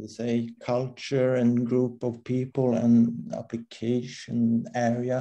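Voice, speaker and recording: A man's monotone, flat delivery at a very slow pace with hardly any pauses. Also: medium pitch for a man. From Sweden. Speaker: crypto community member. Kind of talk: casual group discussion. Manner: halting, many fillers.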